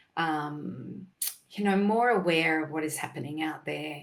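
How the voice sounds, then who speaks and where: A woman with an Australian accent talks in a very deep, low pitch with vocal fry. Her pace is fairly slow and her intonation fairly even. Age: 60s. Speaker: nutritionist. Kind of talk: casual chat.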